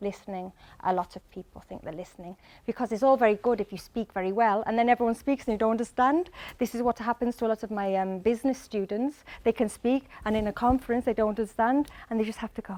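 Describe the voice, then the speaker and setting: In a very clean recording with a silent background, a woman with a Mancunian accent talks very fast in a fairly high, dark and mellow voice, with ordinary pitch variation and big swings in loudness. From Manchester, northern England. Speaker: English teacher. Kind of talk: lecture. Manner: animated.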